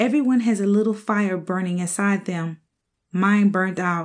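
This woman has an unremarkable speaking voice at a medium pitch and a moderate pace. Her intonation is fairly even, over a quiet background. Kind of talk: poetry reading, audiobook narration of spoken word verse. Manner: emotive, wistful, heartfelt delivery with rhymed lines.

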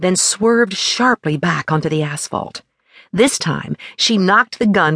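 Quiet surroundings behind a natural reading voice

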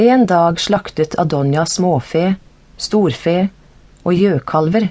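A woman's fairly low voice with a dark, mellow tone. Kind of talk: audiobook reading of scripture, narrated Bible text. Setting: studio. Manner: formal, steady, measured narration; even and unacted, no character voices.

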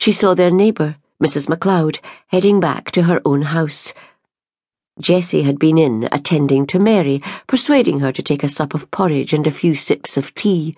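Speaking in a Scottish accent with a gentle, solemn tone and ordinary pitch variation, the voice comes through against a quiet background. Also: woman, very deep, low pitch for a woman. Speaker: audiobook narrator. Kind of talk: dramatic audiobook narration. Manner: emotive, tender and solemn; gentle, slow-paced, with character voices.

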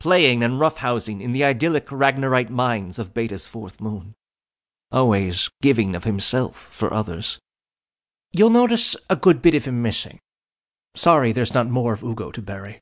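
A plain, everyday voice speaks with lively intonation at a moderate pace over a quiet background. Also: man, medium pitch for a man. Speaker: audiobook narrator. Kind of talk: audiobook fiction narration, comic eulogy read in character. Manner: mock-solemn, formal.

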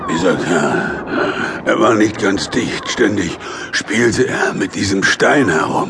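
A man with a fairly low voice talks at a fairly slow pace over clear background noise. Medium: audio drama. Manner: bitter, ironic, resigned.

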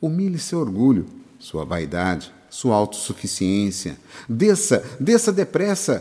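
A man talks at a very slow pace with a medium pitch. His tone is dark and mellow, and his pitch swings very widely. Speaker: audiobook narrator. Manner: earnest, exhortative, preacherly.

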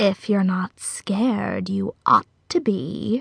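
A woman talks at a very slow pace. She uses a put-on character voice.

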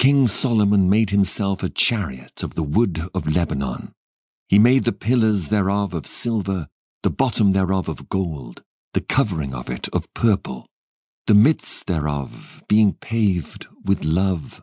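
A man speaks with a very deep, low pitch and a dark, mellow tone. His intonation is lively, and the sound is dry and close with no echo against a quiet background. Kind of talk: poetry reading. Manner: measured, lyrical and reverent.

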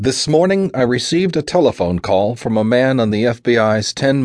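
An unforced reading voice, lively in its intonation

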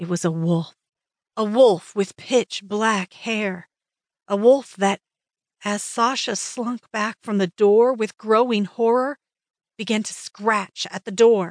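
A woman with a fairly high voice and ordinary pitch variation speaks very slowly, her loudness swinging widely, in a dry, close recording with no echo. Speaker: audiobook narrator. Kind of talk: audiobook narration of paranormal romance, dramatic reading with character voices.

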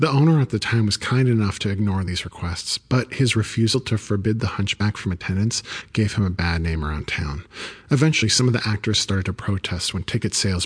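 Over a quiet background, a man speaks at a fairly quick pace. His voice is fairly low and somewhat breathy, with ordinary pitch variation. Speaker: audiobook narrator. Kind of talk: ghost story telling, hushed and suspenseful, with character voices for dialogue.

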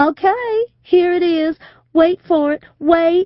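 This is a put-on character voice, robotic and squeaky. It moves at a very slow pace. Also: female-sounding voice, extremely high pitch for a woman. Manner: flat, robotic, trance-like.

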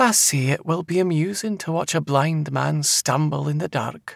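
In a put-on character voice, a man speaks at a moderate pace and a fairly high pitch with a fairly bright tone, vocal fry and ordinary pitch variation, in a very clean recording with a silent background and a dry, close sound with no echo.

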